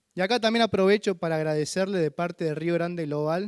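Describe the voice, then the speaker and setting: A man with a San Luis accent talks at a high pitch with ordinary pitch variation, recorded very cleanly against a silent background with a dry, close sound and no echo. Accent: drawling San Luis. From Argentina, San Luis. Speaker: visiting missionary preacher. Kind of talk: sermon. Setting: church.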